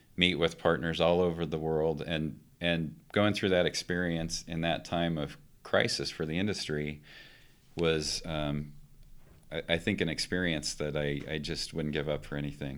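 This man has an American accent and a very deep, low voice. His intonation stays fairly even at a moderate pace. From Colorado, Western Slope. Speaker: geophysicist and university administrator. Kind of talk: interview. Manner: halting.

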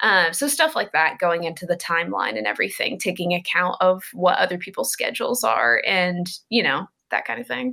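Using a fairly quick pace, a woman with a fairly low pitch, bright, sharp tone and vocal fry swings very widely in pitch. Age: 30s. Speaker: graphic novelist. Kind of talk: interview.

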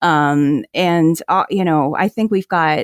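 An unremarkable speaking voice with an American accent, lively intonation and a fairly slow pace, in a very clean recording with a silent background and a dry, close sound with no echo. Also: woman. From New Jersey. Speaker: special education professor and photographer. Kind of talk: casual interview chat.

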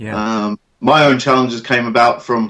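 An ordinary speaking voice: a man at medium pitch, with ordinary pitch variation and a fairly quick pace. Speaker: hypnotherapist and sports specialist. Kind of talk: interview, casual professional chat.

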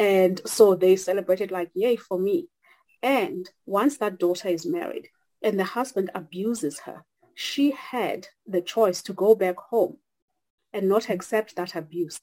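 At a fairly slow pace, a woman with a South African accent talks at a medium pitch, her tone dark and mellow and her pitch varying in an ordinary way. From South Africa (Xhosa). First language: Xhosa. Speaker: consultant, church member. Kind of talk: casual discussion. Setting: video call.

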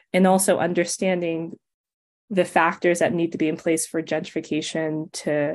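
With an American accent, a woman speaks at a moderate pace and a fairly low pitch against a quiet background. Hers is a normal speaking voice. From US West Coast, Los Angeles. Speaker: author. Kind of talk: interview.

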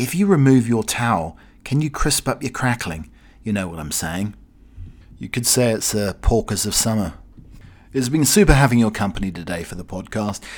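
A man at a medium pitch and moderate pace, with a British accent and big swings in loudness. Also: lively intonation, very clean recording, silent background. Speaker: podcast host. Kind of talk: casual solo chat. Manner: rambling, chatty.

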